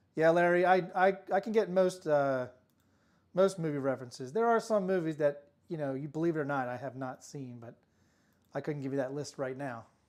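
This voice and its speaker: A mumbling man at a fairly high pitch, fairly quick pace, ordinary pitch variation and big swings in loudness, in a very clean recording with a silent background. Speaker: craps dice-rolling streamer. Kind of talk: live stream commentary while playing craps. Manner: soft-spoken; tends to mumble.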